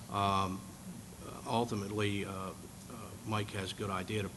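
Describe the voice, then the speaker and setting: A man's fairly low voice with a bright, sharp tone, flat monotone delivery and audible room echo. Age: 60s. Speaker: congressional candidate. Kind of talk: candidates forum answer. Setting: meeting hall with audience.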